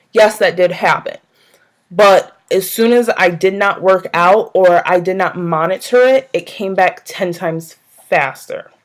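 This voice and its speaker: A woman with an unremarkable speaking voice talks at a fairly slow pace, medium pitch and ordinary pitch variation. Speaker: vlogger. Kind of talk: casual vlog monologue.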